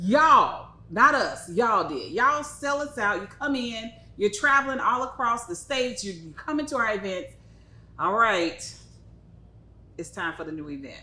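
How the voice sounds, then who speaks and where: A woman with an American accent speaks at a moderate pace in a fairly high, animated voice, with very wide pitch swings and big swings in loudness. Audible room echo surrounds her. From Texas. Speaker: cigar company retail specialist and show host. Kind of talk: live-streamed product show.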